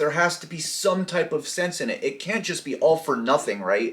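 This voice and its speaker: A man talks at a moderate pace in a high pitch. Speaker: video blogger, former addict. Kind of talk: casual storytime monologue. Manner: sometimes trips on words; casual, slangy.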